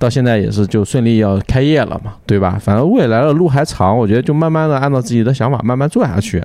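Talking at a very fast pace, a man uses a medium pitch and lively intonation. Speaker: podcast host. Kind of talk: casual chat. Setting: in a taproom. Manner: animated.

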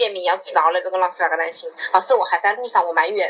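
A woman's medium-pitched voice in a Wuhan accent, fairly even in intonation, with noticeable background noise. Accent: Wuhan-accented Mandarin. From China, Wuhan. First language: Wuhan dialect (speaking Chinese). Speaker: podcast co-host. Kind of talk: casual chat.

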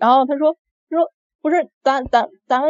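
Fairly quick speech from a woman with a high-pitched voice. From Beijing. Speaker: listener caller. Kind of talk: storytelling. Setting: live-stream voice call. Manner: halting, many fillers.

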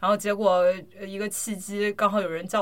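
With a flat, monotone delivery, a woman talks at a moderate pace in a medium pitch. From China. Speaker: podcast host, amateur drummer. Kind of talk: casual chat. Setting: home recording.

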